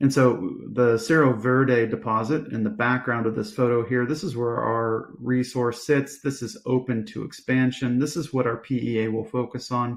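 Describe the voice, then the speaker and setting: With hardly any pauses, a man speaks at a moderate pace in a plain, everyday voice, medium in pitch with fairly even intonation. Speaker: company executive presenting to investors. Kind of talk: investor presentation. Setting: virtual conference live stream.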